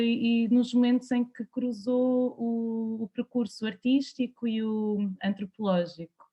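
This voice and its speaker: Speaking at a fairly slow pace, a woman uses a high pitch with monotone, flat intonation. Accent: European Portuguese. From Portugal, Lisbon. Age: 30s. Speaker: anthropologist. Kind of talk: talk.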